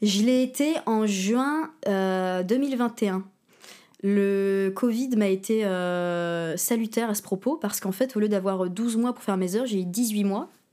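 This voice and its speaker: Speaking very slowly at a medium pitch, a woman has a dark, mellow tone on a very clean recording with a silent background. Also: ordinary pitch variation. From northern France, Pas-de-Calais. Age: 20s. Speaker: actress and dancer. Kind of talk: casual chat.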